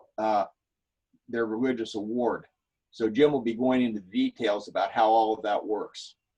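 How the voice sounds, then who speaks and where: A man speaks at a moderate pace and medium pitch, his tone dark and mellow. His intonation stays flat and monotone. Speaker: presenter. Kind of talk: webinar presentation.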